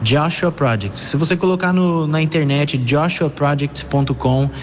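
A man's fairly high voice at a fairly slow pace, with fairly even intonation and noticeable background noise. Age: 20s. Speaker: missionary. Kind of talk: testimony.

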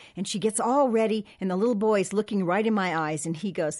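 The speaker has an American accent. Noticeable background noise runs beneath the voice. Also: woman. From Southern California. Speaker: podcast co-host. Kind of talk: casual chat. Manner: energetic, enthusiastic.

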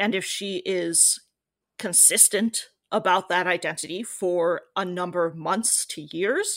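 A woman with an American accent talks at a medium pitch in a plain, everyday voice. Her intonation is fairly even, and the recording is very clean with a silent background. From US. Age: 30s. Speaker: writer. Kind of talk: interview.

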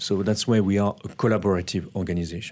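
A man with a French accent at a fairly quick pace, intonation fairly even, on a very clean recording with a silent background. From France. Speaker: non-profit director. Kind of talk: interview. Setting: studio. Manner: halting.

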